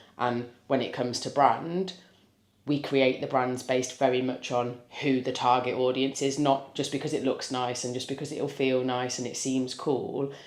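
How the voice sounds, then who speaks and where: In a room with audible echo, a woman talks at a moderate pace with a very deep, low pitch and monotone, flat intonation. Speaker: business owner and vlogger. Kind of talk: business pitch explanation; casual vlog chat. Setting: pub.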